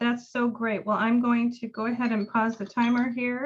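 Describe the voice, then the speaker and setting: A woman's fairly high voice at a moderate pace, a plain, everyday voice. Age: 50s. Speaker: meeting host, hypnotherapist. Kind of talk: casual chat.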